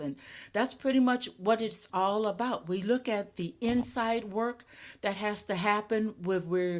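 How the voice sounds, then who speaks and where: A woman talks at a fairly slow pace with medium pitch in an ordinary speaking voice. The recording is very clean, with a silent background. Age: 60s. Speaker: podcaster. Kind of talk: interview.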